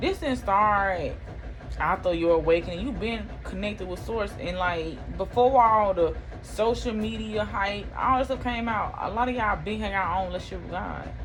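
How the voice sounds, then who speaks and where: The woman keeps a moderate pace while noticeable background noise carries on behind her. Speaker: spiritual tarot reader. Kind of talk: casual spiritual talk to camera.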